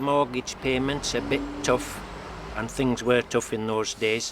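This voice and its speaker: A man with a medium pitch talks in a fairly even intonation over noticeable background noise. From Cumbria and Scottish Borders. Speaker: local resident. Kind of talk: personal reminiscence.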